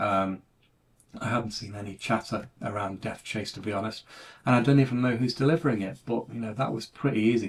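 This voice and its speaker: With a British accent, a man talks in a medium pitch. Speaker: retro computing YouTuber. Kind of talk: casual monologue video. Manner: monotone.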